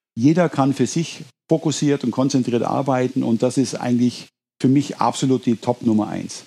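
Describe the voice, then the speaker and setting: Speaking at a moderate pace, a man uses a medium pitch and fairly even intonation, his tone dark and mellow. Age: 50s. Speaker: business owner. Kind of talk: interview.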